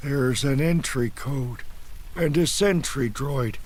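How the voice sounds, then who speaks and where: A man in a put-on character voice, fairly high in pitch, at a fairly slow pace, with clear background noise. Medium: read story. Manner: flat, dazed.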